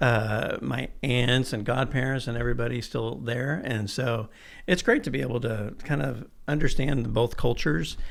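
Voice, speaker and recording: Medium-pitched male voice with vocal fry and audible room echo. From Texas, Irving (born in Mexico City, moved at 4). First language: Spanish. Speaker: architect. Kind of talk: casual interview.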